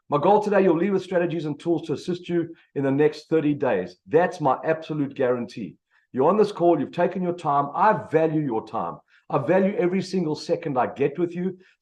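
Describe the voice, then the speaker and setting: A man with a South African accent speaks at a fairly quick pace. His pitch is fairly high, with ordinary variation. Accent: South African, noticeable. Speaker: business coach, motivational speaker. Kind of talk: motivational presentation. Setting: video call. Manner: energetic.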